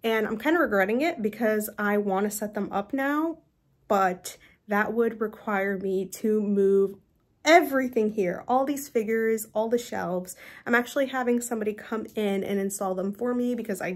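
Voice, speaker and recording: The pace of this woman's speech is moderate, and her pitch varies in an ordinary way. Nothing much sounds behind her. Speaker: collector vlogger. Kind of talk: casual vlog chat. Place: home room. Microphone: phone near.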